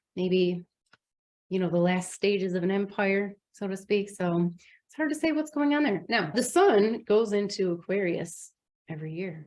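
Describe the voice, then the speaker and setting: A woman at medium pitch with a Midwestern US accent. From US Midwest. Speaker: astrologer. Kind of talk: astrology forecast monologue. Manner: casual, conversational.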